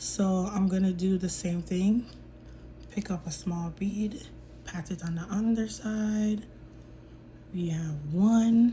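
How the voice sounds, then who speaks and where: This voice has a dark, mellow tone, somewhat breathy, with fairly even intonation, a very slow pace and long, frequent pauses. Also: woman, medium pitch for a woman. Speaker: nail technician. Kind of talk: tutorial.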